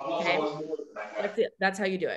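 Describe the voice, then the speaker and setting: A woman speaks at a fairly quick pace in an animated tone. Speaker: nail product seller and team trainer. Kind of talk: business training on a video call. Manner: fast.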